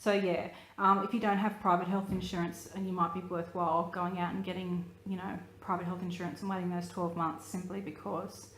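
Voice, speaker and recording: A woman with an Australian accent, medium-pitched, at a fairly quick pace, in a monotone with flat intonation and audible room echo. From Australia (New South Wales). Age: 30s. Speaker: vlogger, photographer. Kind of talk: personal vlog. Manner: hesitant, many fillers.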